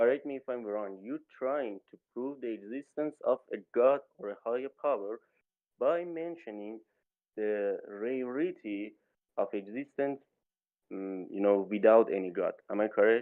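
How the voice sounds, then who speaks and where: Here a man with a non-native accent speaks fairly slowly at a medium pitch, with ordinary pitch variation. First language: not English. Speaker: debate participant. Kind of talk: debate. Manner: halting.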